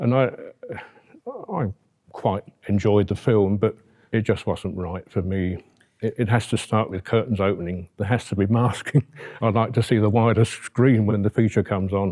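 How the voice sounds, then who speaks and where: Long, frequent pauses break up a dark, mellow voice with fairly even intonation in a very clean recording with a silent background. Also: man, fairly low pitch for a man, moderate pace. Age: 70s. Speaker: cinema owner. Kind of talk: interview.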